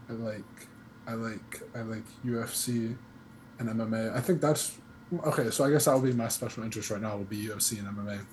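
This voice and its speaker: Fairly even intonation broken by long, frequent pauses, with audible room echo. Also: man, medium pitch for a man, moderate pace. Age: 20s. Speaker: podcast guest. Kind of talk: casual chat.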